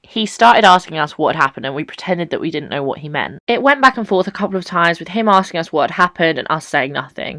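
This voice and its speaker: In an English accent, a woman speaks with a bright, sharp, animated tone and vocal fry, the sound dry and close with no echo. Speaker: YouTuber. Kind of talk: storytelling vlog. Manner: loud.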